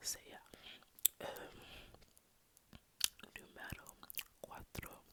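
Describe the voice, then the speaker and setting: The whispering goes very slowly, broken by long, frequent pauses. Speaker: university law student, studying Spanish and law. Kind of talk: ASMR whispered rambling talk to camera. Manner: casual, rambling, chatty, somewhat awkward.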